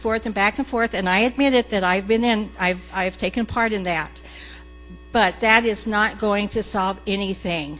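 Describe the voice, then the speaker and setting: With an American accent, a woman speaks at a moderate pace, medium pitch and fairly even intonation while music plays in the background. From US Southwest, Phoenix area (Arizona). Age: 70s. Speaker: resident speaking at public comment. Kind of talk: public comment at council meeting. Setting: city council meeting chamber.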